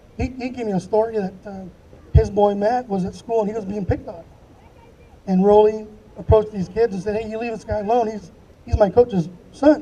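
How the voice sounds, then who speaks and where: Against noticeable background noise, a man with a high pitch talks at a fairly quick pace and fairly even intonation. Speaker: former youth baseball coach. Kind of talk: eulogy. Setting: memorial gathering.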